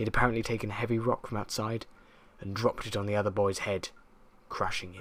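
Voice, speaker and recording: With monotone, flat intonation, a man talks at a very fast pace broken by long, frequent pauses. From southern England. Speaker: creepypasta narrator. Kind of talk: horror story reading.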